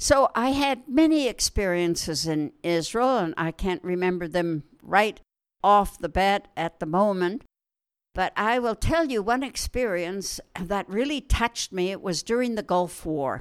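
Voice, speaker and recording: In a western Canadian accent, a woman at medium pitch speaks fairly slowly with very wide pitch swings, her sound dry and close with no echo on a very clean recording with a silent background. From Canada, Alberta (farm near Wetaskiwin). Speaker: retired nurse. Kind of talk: interview storytelling. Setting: at home.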